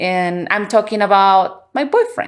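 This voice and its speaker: In a Spanish accent, a woman speaks at a moderate pace with very wide pitch swings. The recording is very clean with a silent background. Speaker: podcast host. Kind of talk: casual conversation. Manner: halting.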